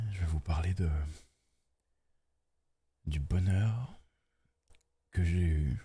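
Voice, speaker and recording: Soft-spoken and somewhat breathy, a man with a very deep, low pitch and a dark, mellow tone speaks with ordinary pitch variation. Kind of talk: ASMR relaxation talk.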